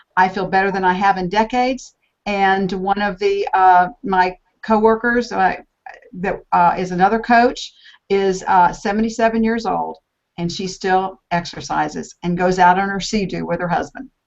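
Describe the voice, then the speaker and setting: A woman talks at a moderate pace in a medium pitch, with fairly even intonation. Hers is an unremarkable speaking voice. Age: 60s. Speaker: health coach. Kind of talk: panel discussion.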